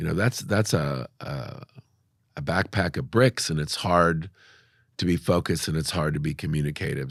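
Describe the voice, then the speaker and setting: A man talks at a moderate pace with a very deep, low pitch and vocal fry. The recording is very clean, with a silent background. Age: 60s. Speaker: business owner. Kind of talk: casual chat.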